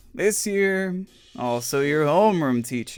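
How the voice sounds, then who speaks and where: Doing a put-on character voice, a man mumbles in a deadpan tone at a fairly slow pace. Faint music plays in the background. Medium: read story. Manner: mumbling, low-energy, deadpan.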